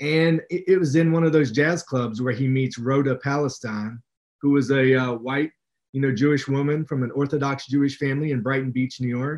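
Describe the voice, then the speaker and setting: With an American accent, a man talks at a fairly quick pace in a normal speaking voice. His pitch sits fairly high, and his intonation is fairly even. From West Virginia. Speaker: author and English professor. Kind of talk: interview.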